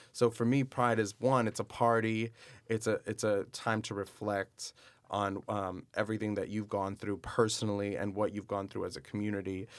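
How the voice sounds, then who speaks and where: In an American accent, a man with a fairly low pitch speaks at a moderate pace in a monotone, flat intonation, on a very clean recording with a silent background. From Miami, Florida. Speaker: actor. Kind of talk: casual chat.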